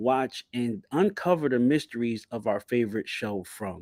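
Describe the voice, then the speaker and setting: On a very clean recording with a silent background, a man with a New Jersey accent speaks at a moderate pace and medium pitch, with ordinary pitch variation, a dark, mellow tone and a dry, close sound with no echo. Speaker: YouTube TV show commentator. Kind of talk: livestream commentary. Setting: livestream.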